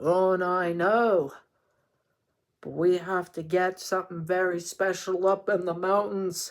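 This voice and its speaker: A man puts on a character voice, high-pitched and flat in a monotone, at a fairly slow pace. The recording is very clean, with a silent background. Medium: read story.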